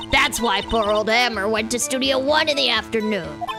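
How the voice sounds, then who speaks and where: Over loud music in the background, a woman does a high-pitched put-on character voice at a moderate pace. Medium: virtual streamer. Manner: chatty, scolding.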